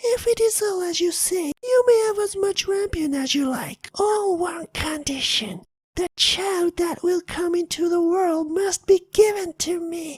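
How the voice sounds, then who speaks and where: A put-on, squeaky character voice at an extremely high pitch and a fairly slow pace. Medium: read story. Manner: menacing.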